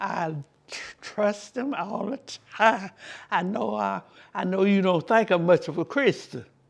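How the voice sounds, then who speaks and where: A woman with a Southern US accent speaks at a fairly slow pace with long, frequent pauses, medium pitch and vocal fry. Her intonation is lively, and her loudness swings widely. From South Carolina, USA. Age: 80s+. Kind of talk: interview answer.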